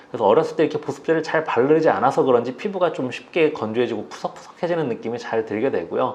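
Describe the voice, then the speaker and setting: A man talks at a very fast pace with hardly any pauses, his fairly high pitch carrying lively intonation. Noticeable background noise sits behind him. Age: 40s. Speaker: dermatologist. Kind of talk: interview. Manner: hesitant fillers.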